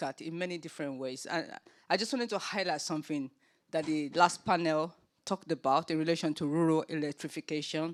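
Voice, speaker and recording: Someone with a Nigerian accent talks at a very fast pace on a very clean recording with a silent background. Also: woman. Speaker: panel chair, children's charity founder. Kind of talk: panel discussion. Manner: hesitant, many fillers.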